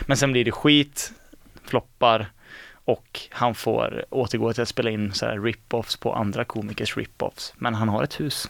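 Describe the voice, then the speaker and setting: The man's medium-pitched voice carries vocal fry and fairly even intonation at a fairly slow pace. The sound is dry and close, with no echo. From Mark municipality, West Sweden. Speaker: student radio host. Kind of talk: casual chat.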